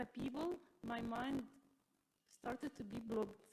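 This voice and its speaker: With an Arabic accent, a woman speaks at a high pitch and a moderate pace. Her intonation stays fairly even. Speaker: teacher, audience member. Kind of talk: audience question. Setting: live event with audience, mic. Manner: halting.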